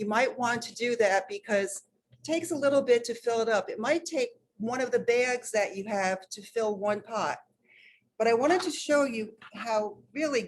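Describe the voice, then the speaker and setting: A woman with a New York accent talks at a fairly high pitch with lively intonation. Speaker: master gardener volunteer. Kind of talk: hands-on demonstration.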